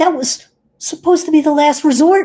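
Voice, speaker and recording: A squeaky, high-pitched put-on character voice with a nervous tone at a moderate pace. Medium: actual play. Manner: stammering, nervous.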